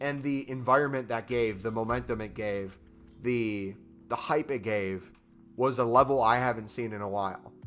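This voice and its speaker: With music in the background, a man at a medium pitch speaks in an animated tone at a moderate pace. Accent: American. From United States. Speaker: gaming livestreamer. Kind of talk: live stream chat. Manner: casual, animated.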